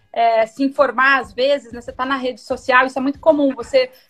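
Her pitch high, a woman talks with intonation that stays fairly even. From interior of São Paulo state, Brazil. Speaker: fashion retail executive. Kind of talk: live-streamed interview.

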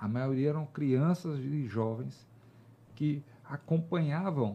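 Somewhat breathy and dark, mellow in tone, a man's voice carries lively intonation. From Brazil, Teresina, Piauí. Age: 40s. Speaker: military police officer and politician. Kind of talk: interview.

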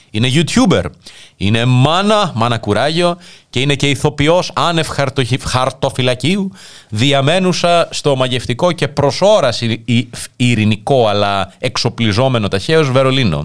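The recording is very clean with a silent background, and a man with an unremarkable speaking voice talks at a fairly slow pace. His medium pitch carries lively intonation at a very even loudness. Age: 30s. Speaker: internet radio host. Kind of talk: casual chat. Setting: studio.

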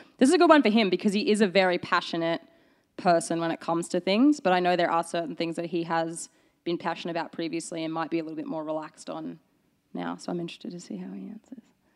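A woman with an Australian accent talks at a very fast pace in a fairly low pitch, her loudness swinging widely while her pitch varies in an ordinary way, on a very clean recording with a silent background. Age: 30s. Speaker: baker. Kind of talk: casual chat.

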